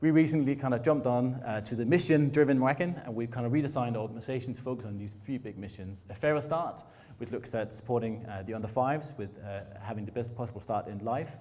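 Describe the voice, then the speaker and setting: Man with a slight northern Danish accent, medium pitch and ordinary pitch variation, hardly any pauses, in audible room echo. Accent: hint of a northern Danish drawl. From Denmark, Frederikshavn (north Jutland). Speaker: innovation foundation director. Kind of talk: conference talk. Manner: fast.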